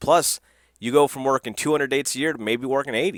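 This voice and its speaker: Talking very fast, a man uses a medium-pitched voice. The recording is very clean with a silent background and a dry, close sound with no echo. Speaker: wrestling commentator vlogger. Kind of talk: casual solo commentary. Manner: stutters and stammers; casual, conversational.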